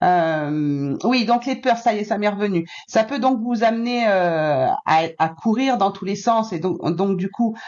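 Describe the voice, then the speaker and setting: A woman with a medium pitch keeps a moderate pace, and her pitch variation is ordinary. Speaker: spiritual guidance channel host, card reader. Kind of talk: tarot-style card reading guidance to viewers. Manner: hesitant, many fillers.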